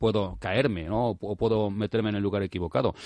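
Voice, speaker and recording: A man speaks fairly quickly at a fairly low pitch. His intonation stays fairly even against a quiet background. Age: 40s. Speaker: writer and motorcycle traveller. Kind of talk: radio interview. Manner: halting.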